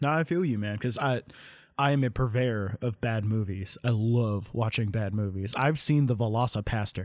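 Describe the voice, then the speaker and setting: A man at medium pitch and moderate pace, his loudness very even. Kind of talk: casual chat. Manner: monotone.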